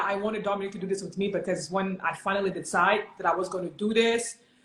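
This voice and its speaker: There is noticeable background noise while a woman talks at a medium pitch. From Cameroon. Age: 30s. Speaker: personal trainer. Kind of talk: casual chat. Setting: livestream video call.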